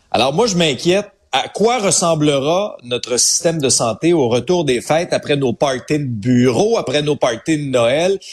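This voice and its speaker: In a plain, everyday voice, the speaker uses lively intonation at a fairly slow pace, with hardly any pauses and very even loudness. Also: man, fairly high pitch for a man. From Quebec, Abitibi. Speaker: radio host, social commentator. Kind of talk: casual chat. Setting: studio.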